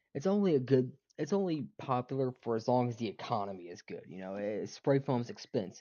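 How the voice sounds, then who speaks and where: A man with a Southern US accent speaks at a moderate pace in a medium-pitched voice. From US South. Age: 20s. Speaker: gaming streamer. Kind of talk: casual chat while gaming. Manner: halting, many fillers.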